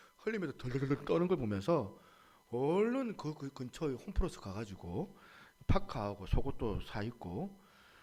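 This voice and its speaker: Speaking at a moderate pace with a Gyeongsang accent, a man lets his pitch swing very widely. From Busan, Gyeongsang region, South Korea. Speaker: pastor. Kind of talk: sermon.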